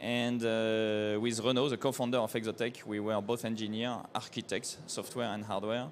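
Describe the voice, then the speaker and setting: A man at medium pitch talks in a monotone, flat way at a moderate pace, with hardly any pauses. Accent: French. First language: French. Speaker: company co-founder, engineer. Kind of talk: trade show seminar presentation. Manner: halting.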